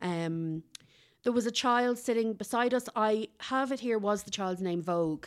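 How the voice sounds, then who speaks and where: In an Irish accent, a woman speaks at a moderate pace with ordinary pitch variation, in a very clean recording with a silent background. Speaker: podcast co-host, food reviewer. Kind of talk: casual chat. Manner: animated.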